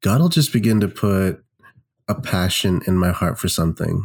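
A man with an American accent and an ordinary speaking voice, fairly low in pitch, with ordinary pitch variation and a moderate pace, on a very clean recording with a silent background. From Mumbai, India and Kentucky, US. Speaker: pastor and worship leader. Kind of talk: casual interview.

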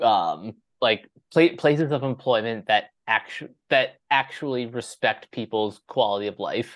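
This man has a normal speaking voice at a medium pitch. The background is quiet. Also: ordinary pitch variation, fairly slow pace. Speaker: podcast host. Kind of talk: casual chat, show intro and outro. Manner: repetitive, stumbling.

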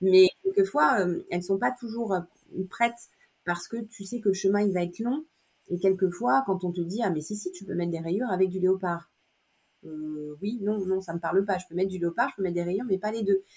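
Her pitch medium and varying in the usual way, a woman speaks at a moderate pace. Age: 50s. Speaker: image consultant and personal shopper. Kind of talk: interview. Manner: hesitant, many fillers.

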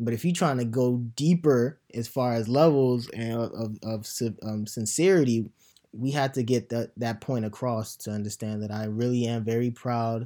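A man's dark, mellow tone at a medium pitch, with ordinary pitch variation and a moderate pace. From Nigeria. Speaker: podcast host. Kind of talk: casual chat.

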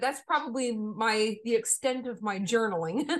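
Speaking at a moderate pace with an American accent, a woman uses a raised, projected voice with a bright, sharp tone. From Maine, US. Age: 40s. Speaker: composer and music educator. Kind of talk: interview conversation.

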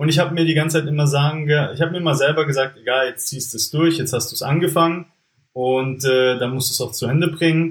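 A man speaks at a very fast pace in a fairly high, somewhat breathy voice. His intonation stays fairly even. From Germany, Stuttgart area (Swabia). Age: 20s. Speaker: entrepreneur, former business consultant. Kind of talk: casual interview.

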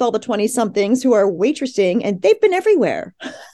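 A woman speaks in a dark, mellow tone. Her pitch swings very widely. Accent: Mid-Atlantic. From US, Philadelphia suburbs. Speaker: journalist and author. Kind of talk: interview.

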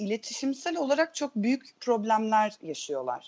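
A woman's voice with very wide pitch swings. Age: 30s. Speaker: theatre teacher. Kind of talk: casual chat.

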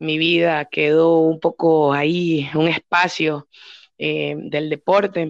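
In a dry, close sound with no echo and a quiet background, the speech is monotone and flat at a very slow pace. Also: woman, very deep, low pitch for a woman. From Ecuador, Babahoyo (Los Ríos). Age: 30s. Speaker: professional bodybuilder. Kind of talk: interview.

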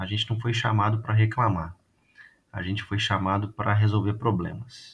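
Speaking at a moderate pace, a man with a fairly low pitch sounds somewhat breathy and keeps a monotone, flat intonation. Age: 30s. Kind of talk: casual chat.

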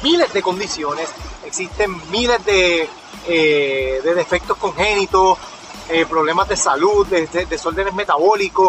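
The speaker talks at a fairly slow pace with ordinary pitch variation, and there is noticeable background noise. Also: man. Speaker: nutritionist podcast host. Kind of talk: casual monologue.

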